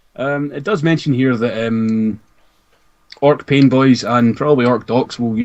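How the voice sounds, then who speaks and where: A man in a Scottish accent with fairly even intonation. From Scotland. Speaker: podcast co-host discussing Warhammer lore. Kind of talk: casual chat.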